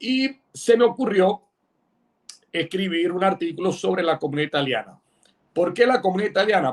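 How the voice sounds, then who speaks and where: A man speaks at a high pitch with lively intonation. His pace is moderate. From Panama. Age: 60s. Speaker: writer and insurance executive. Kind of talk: interview. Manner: halting, many fillers.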